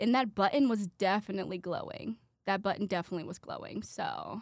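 With a Midwestern American accent, a woman talks at a fairly quick pace in an animated tone with lively intonation. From Indiana (Brownsburg). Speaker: college student podcaster. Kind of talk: casual solo monologue. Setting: studio with headset mic.

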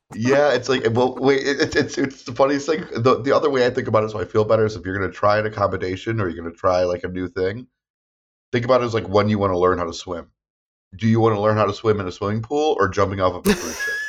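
Music plays behind a man who speaks at a very fast pace with a medium pitch and ordinary pitch variation. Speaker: therapist. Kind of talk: casual chat. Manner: fast talker; animated.

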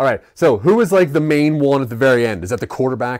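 A man's unremarkable speaking voice, fairly quick, with lively intonation, on a very clean recording with a silent background. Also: dry, close sound with no echo. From Maryland. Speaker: podcast host. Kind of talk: casual chat.

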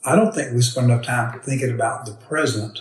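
Ordinary pitch variation and a fairly quick pace in an unremarkable speaking voice. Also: man. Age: 60s. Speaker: financial advisor and military veteran. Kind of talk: interview. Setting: portable recorder on a table, not in a studio.

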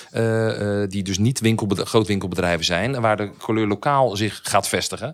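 An ordinary speaking voice from a man, fairly low in pitch with ordinary pitch variation. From Netherlands, Dordrecht. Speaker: property investor. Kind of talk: interview.

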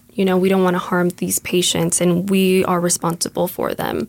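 On a very clean recording with a silent background, a woman talks at a moderate pace and medium pitch in a monotone, flat intonation. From US, Mexican-American. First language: Spanish. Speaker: nursing student. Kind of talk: casual interview conversation. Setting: studio. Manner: hesitant, filler words.

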